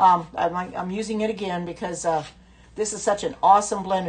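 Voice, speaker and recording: With an American accent, a woman talks at a fairly quick pace. Her medium-pitched voice is somewhat breathy, with ordinary pitch variation. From US Midwest, Indiana. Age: 70s. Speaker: cooking livestream host. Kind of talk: casual livestream cooking chat. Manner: chatty, hesitant with many fillers.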